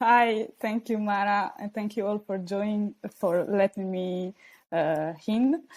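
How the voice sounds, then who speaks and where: A woman with an Italian accent talks at a very slow pace and medium pitch, with ordinary pitch variation, on a very clean recording with a silent background. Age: 20s. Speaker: PhD student, youth organisation co-founder. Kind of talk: podcast interview. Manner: hesitant, many fillers.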